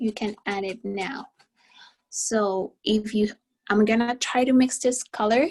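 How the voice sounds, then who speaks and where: A woman speaks fairly slowly in a fairly high, somewhat breathy voice, with fairly even intonation and long, frequent pauses. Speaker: art teacher. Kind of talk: tutorial.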